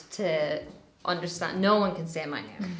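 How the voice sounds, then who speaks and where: A woman's fairly low voice at a moderate pace, with fairly even intonation, audible room echo and noticeable background noise. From Ireland, rural. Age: 20s. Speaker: makeup brand founder and makeup artist. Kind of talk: casual chat while doing makeup.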